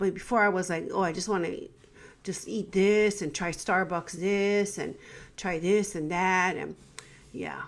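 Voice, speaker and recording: Using fairly even intonation, a woman speaks at medium pitch with vocal fry. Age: 50s. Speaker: teacher. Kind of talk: casual talk to camera.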